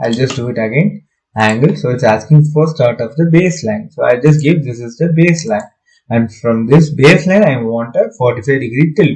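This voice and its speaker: Fairly quick and somewhat breathy, this man talks with lively intonation. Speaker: architecture software tutor. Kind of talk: tutorial. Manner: hesitant, many fillers.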